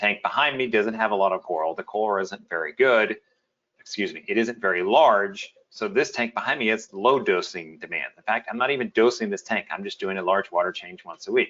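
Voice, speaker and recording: A man with an American accent, at a fairly low pitch and a fairly quick pace, with ordinary pitch variation. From US South. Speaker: webinar host, reef aquarium expert. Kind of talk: webinar presentation. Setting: live webinar video call.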